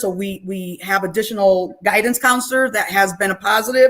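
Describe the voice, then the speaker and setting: A woman speaks at a moderate pace in a plain, everyday voice. Her pitch variation is ordinary. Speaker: school principal. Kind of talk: town hall presentation.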